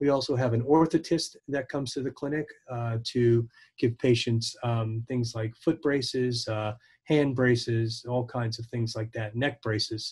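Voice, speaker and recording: Over a quiet background, a man speaks fairly slowly and somewhat breathily with fairly even intonation. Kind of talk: interview answer. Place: office. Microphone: video call.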